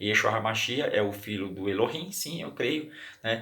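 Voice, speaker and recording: Audible room echo surrounds a bright, sharp tone. The pace is moderate. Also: man. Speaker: religious teacher. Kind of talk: bible study. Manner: halting.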